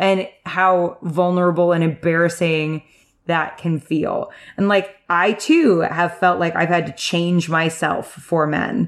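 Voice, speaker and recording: On a very clean recording with a silent background, a woman with a fairly low voice speaks very slowly and at very even loudness. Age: 20s. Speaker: podcast co-host, first-time reader of a fantasy book series. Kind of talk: casual chat. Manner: animated.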